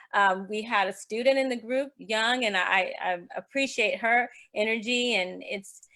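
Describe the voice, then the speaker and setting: A woman's bright, sharp tone at a fairly high pitch and moderate pace. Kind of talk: group discussion report on video call.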